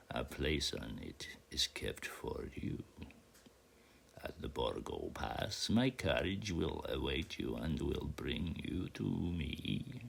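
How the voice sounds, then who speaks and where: Over clear background noise, a put-on character voice moves at a very slow pace. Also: man, very deep, low pitch for a man. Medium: read story. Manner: formal, measured.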